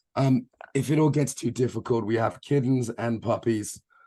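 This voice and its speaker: A man with an English accent speaks in a dark, mellow, somewhat breathy tone. His intonation stays monotone and flat. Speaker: embodiment coach and trainer. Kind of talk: online training lecture. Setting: video call.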